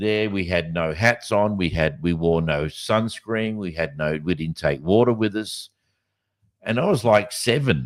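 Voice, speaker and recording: An Australian-accented man talks at a fairly slow pace with lively intonation. His pitch is very deep and low, and the recording is very clean with a silent background. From Western Australia (Kimberley, Broome). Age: 60s. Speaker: podcast host. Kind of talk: casual chat. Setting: live podcast. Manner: halting, with many fillers and restarts.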